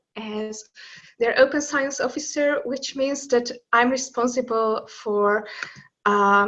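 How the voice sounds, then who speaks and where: Speaking very slowly with a Hungarian accent, a woman uses a high, bright, sharp voice with ordinary pitch variation against a quiet background. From Hungary. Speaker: open science officer, linguist. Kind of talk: webinar presentation. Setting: online webinar.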